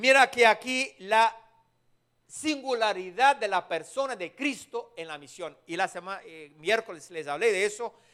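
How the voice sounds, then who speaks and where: Spoken with a strong non-native accent at a fairly slow pace. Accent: strong foreign accent in Spanish. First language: not Spanish (speaking Spanish). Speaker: preacher. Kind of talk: sermon. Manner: halting.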